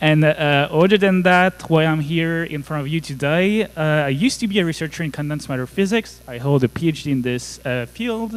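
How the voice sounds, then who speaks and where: A man with a French accent talks at a fairly quick pace and a fairly high pitch, with ordinary pitch variation and hardly any pauses, over noticeable background noise. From France. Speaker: conference speaker, cybersecurity engineer. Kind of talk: conference talk.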